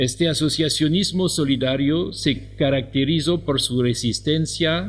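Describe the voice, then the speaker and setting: Audible room echo surrounds a man speaking at a fairly slow pace. His pitch varies in an ordinary way. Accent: non-native. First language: French (speaking Spanish). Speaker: professor. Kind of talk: conference talk. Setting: conference hall.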